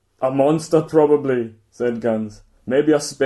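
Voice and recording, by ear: Reading aloud happens in a natural voice. Pitch varies in an ordinary way over a quiet background.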